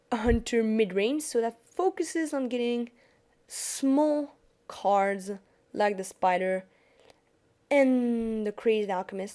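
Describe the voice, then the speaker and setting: Over a silent background in a very clean recording, a woman with a French accent speaks at a very slow pace, her fairly high voice dark and mellow in tone with lively intonation. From France. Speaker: gaming YouTuber. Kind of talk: gameplay tutorial commentary. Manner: casual, some hesitation.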